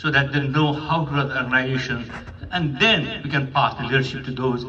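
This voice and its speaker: A man with a fairly high voice is heard through audible room echo and noticeable background noise. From Nepal. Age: 70s. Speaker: psychiatrist and community elder. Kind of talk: speech at a community meeting. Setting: hotel event with audience.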